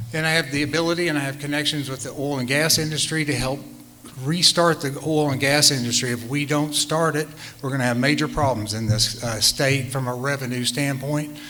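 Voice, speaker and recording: A man talks at a fairly quick pace with a fairly high pitch and fairly even intonation. Audible room echo and noticeable background noise sit behind him. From western Oklahoma. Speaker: political candidate and physician. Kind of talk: debate opening statement. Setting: stage with live audience at a library. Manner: halting, many fillers.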